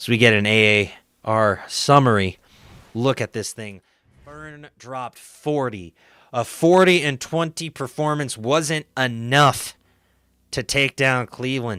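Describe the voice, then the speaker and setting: Dry and close with no echo, a man's bright, sharp voice moves at a fairly slow pace with big swings in loudness, in a very clean recording with a silent background. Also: medium pitch for a man, ordinary pitch variation. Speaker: esports caster. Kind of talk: live commentary. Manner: animated.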